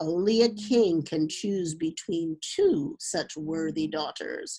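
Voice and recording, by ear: In a put-on character voice, a woman speaks slowly at a low pitch, dark and mellow with a slightly husky edge, vocal fry and big pitch swings.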